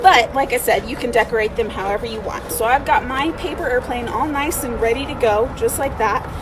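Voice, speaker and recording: Loud and high-pitched, a woman speaks at a fairly quick pace against noticeable background noise. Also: ordinary pitch variation. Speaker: museum education director. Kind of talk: craft tutorial for kids. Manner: casual and encouraging.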